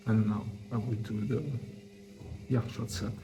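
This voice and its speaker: In an Italian accent, a man speaks with a dark, mellow, relaxed tone at a medium pitch, his intonation fairly even and touched by vocal fry. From Italy. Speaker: deaf fitness enthusiast and wrestler. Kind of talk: soft-spoken workout advice to camera. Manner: soft-spoken, relaxed.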